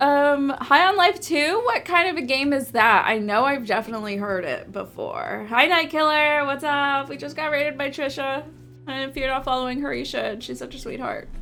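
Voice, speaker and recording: In a room with audible echo, a woman raises and projects her high-pitched voice with a bright, sharp tone. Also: moderate pace. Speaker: game streamer. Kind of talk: casual live-stream chat. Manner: hesitant, many fillers.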